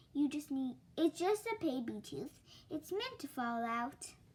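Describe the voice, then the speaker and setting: The speaker puts on a character voice. The delivery keeps a moderate pace. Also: woman, high pitch for a woman. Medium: read story.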